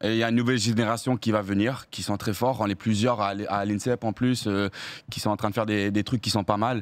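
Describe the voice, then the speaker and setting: Against a quiet background, this man speaks at a very fast pace, his pitch varying in an ordinary way. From Australia. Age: 20s. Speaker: hurdler; guest. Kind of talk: casual chat. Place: studio. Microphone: studio mic.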